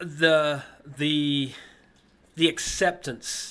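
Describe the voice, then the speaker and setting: On a very clean recording with a silent background, a man speaks with an American accent. His tone is bright and sharp. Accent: sounds American. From England, then Ohio from the late 1970s. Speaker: former Olympic distance runner. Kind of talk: interview. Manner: halting, many repeats and fillers.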